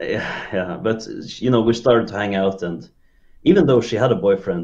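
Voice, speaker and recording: Speaking with a Norwegian accent, the man has a fairly low-pitched voice. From southern Norway, Kristiansand. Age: 30s. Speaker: caller sharing relationship story. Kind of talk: casual call-in podcast chat. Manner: halting, many fillers.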